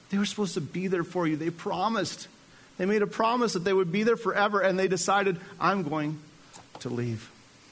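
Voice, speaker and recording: Against noticeable background noise and audible room echo, a man talks at a fairly quick pace in a high pitch with ordinary pitch variation. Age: 40s. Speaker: pastor. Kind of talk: sermon. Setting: church. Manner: animated.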